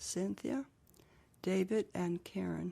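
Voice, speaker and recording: A woman with a New Mexico accent is speaking. She goes at a very slow pace. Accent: New Mexico American English. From US Southwest, Gallup, New Mexico. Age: 80s+. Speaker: interviewee. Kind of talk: oral history interview.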